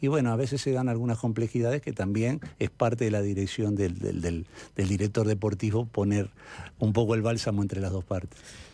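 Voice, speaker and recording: A man with a Uruguayan accent talks at a fairly quick pace in a fairly low, dark, mellow voice with fairly even intonation. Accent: Uruguayan Spanish (Rioplatense). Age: 60s. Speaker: sports director, former coach. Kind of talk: radio interview.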